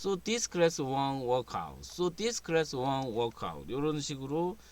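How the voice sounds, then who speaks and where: With a Korean accent, a man talks at a fairly slow pace in a fairly high pitch, his intonation lively. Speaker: English teacher. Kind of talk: tutorial.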